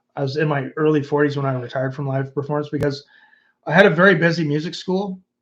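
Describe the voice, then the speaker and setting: Speaking in an ordinary speaking voice, a man with a Canadian accent uses a fairly high pitch and fairly even intonation. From Canada. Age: 50s. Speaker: YouTuber and former musician. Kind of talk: livestream chat reading comments. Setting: livestream.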